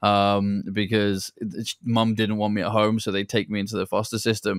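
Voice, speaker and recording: A man with a British accent speaks at a fairly quick pace and fairly low pitch in a monotone, flat intonation, with a dry, close sound, no echo, and a very clean recording with a silent background. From England. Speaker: entrepreneur and former pro soccer player. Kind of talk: interview. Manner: blunt, direct.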